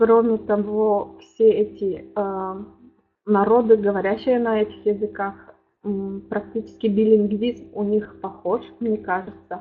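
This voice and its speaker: A woman's medium-pitched voice at a very slow pace with monotone, flat intonation. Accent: Udmurtia. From Udmurtia, Russia. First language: Udmurt (speaking Russian). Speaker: linguist, lecturer. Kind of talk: academic lecture. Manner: halting, many filler sounds.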